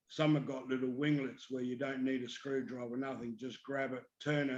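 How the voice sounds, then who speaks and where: Moderately paced, monotone, flat speech from a man with an Australian accent. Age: 60s. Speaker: paramotor pilot and motor racing mechanic. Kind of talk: casual chat.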